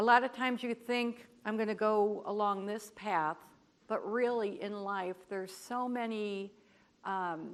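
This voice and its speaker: Speaking fairly slowly, a woman with an unremarkable speaking voice uses a fairly high pitch and fairly even intonation. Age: 60s. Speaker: cleft community advocate. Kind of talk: conference presentation.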